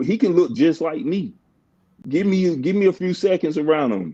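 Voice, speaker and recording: A man's high-pitched voice with a dark, mellow tone, lively intonation and a moderate pace. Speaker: livestream host. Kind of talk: casual chat.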